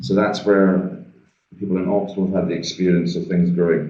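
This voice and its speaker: Amid audible room echo, a man with a Scottish accent speaks in a very deep, low pitch and a dark, mellow tone with fairly even intonation. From Scotland. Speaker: trade finance trainer. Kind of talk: webinar presentation. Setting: video call from shared meeting room.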